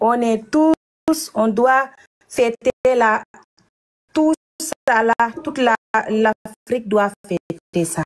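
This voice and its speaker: Speaking at a very slow pace, a woman leaves long, frequent pauses. Her intonation is lively, and the sound is dry and close with no echo. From Senegal. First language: German (speaking French). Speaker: caller. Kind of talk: call-in comment. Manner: halting.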